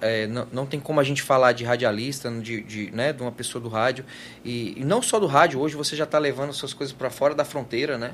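Speaking fairly quickly, a man uses a normal speaking voice, his pitch medium and its variation ordinary. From Goiás, Brazil. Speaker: advertising agency founder, guest. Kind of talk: casual interview chat.

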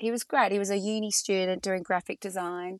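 A woman with an Australian accent talks at a medium pitch and moderate pace with ordinary pitch variation, in a dry, close sound with no echo and a quiet background. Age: 50s. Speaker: entrepreneur. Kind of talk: casual interview.

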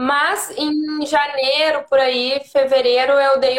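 A woman speaks at a very slow pace. Her pitch is high and her intonation fairly even. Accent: southern Brazilian. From Rio Grande do Sul, Brazil (Santana do Livramento). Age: 30s. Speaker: yoga teacher. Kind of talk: casual chat.

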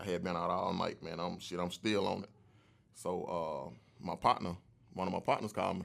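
At a moderate pace, a man talks in a very deep, low pitch with vocal fry and ordinary pitch variation. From Atlanta, US South. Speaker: entertainment entrepreneur, clothing brand owner. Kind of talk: casual interview. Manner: laid back.

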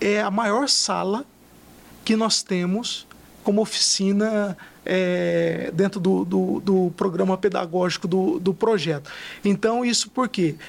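The voice moves at a very slow pace with ordinary pitch variation and very even loudness. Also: man, high pitch for a man. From interior of São Paulo state, Brazil. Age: 30s. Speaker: social project manager. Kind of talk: interview storytelling. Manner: many fillers and repetitions.

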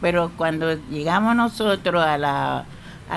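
A woman talks very slowly, her fairly low pitch showing ordinary pitch variation. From Colombia, Tumaco. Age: 80s+. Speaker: traditional midwife. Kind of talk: interview storytelling.

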